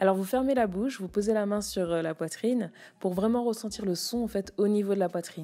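A woman speaks at a fairly high pitch and a moderate pace, with ordinary pitch variation. Music plays in the background. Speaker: public speaking coach. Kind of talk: solo podcast tutorial.

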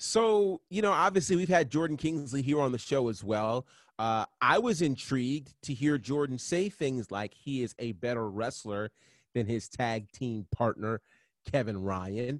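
A man with an unremarkable speaking voice talks at a fairly slow pace and a medium pitch, with lively intonation. The recording is very clean, with a silent background and a dry, close sound with no echo. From New York State, Catskills. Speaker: wrestling podcast co-host. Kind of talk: casual chat.

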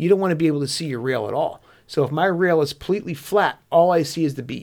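In a normal speaking voice with ordinary pitch variation, the speaker goes at a fairly quick pace on a very clean recording with a silent background. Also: man. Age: 40s. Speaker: hunting podcast co-host. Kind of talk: casual chat. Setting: studio.

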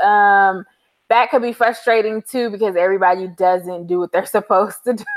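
With an American accent, a woman speaks in an unremarkable speaking voice, fairly high in pitch, at a fairly quick pace with ordinary pitch variation. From Los Angeles, California. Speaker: travel blogger. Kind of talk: casual interview.

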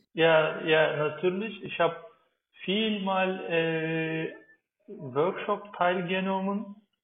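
This man speaks very slowly in a Turkish accent, his pitch high and his intonation fairly even. Audible room echo surrounds the voice. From Turkey. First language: Turkish (speaking German). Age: 30s. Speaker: climate activist and agricultural engineer. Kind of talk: interview. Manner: halting, many fillers.

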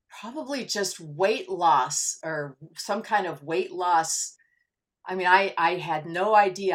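A plain, everyday voice at a fairly slow pace, with ordinary pitch variation and a very clean recording over a silent background. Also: woman. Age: 60s. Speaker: weight loss success story guest. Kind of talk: interview.

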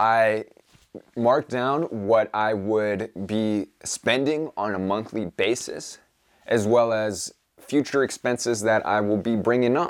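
A man's normal speaking voice, medium in pitch, with ordinary pitch variation at a fairly slow pace. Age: young. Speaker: podcast host and self-publishing entrepreneur. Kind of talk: solo vlog update. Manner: casual, upbeat.

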